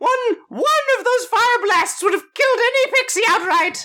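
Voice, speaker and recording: The voice is squeaky. It is a put-on character voice. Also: female-sounding voice. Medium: actual play. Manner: fussy, doting, exclamatory.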